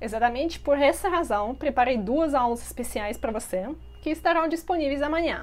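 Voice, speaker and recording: At a moderate pace, the voice carries a Russian accent and lively intonation. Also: woman, high pitch for a woman. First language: Russian (speaking Portuguese). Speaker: language teacher. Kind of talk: promotional video.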